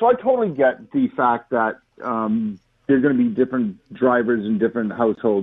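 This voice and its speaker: A man with a medium-pitched voice talks at a fairly quick pace, his intonation lively. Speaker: caller. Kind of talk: call-in talk radio. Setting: phone call. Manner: quiet.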